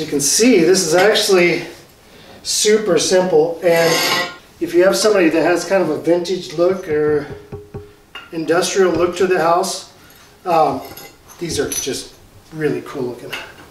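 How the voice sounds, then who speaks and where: A man with a high pitch speaks at a moderate pace with fairly even intonation and long, frequent pauses. There is audible room echo and music in the background. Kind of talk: tutorial. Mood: relaxed, joking. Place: garage. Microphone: camera far.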